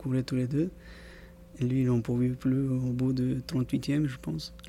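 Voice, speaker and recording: A man's medium-pitched, dark, mellow voice at a fairly slow pace with fairly even intonation. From South America, Andean country coast. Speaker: amateur marathon runner. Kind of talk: casual interview. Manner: halting, repeats words.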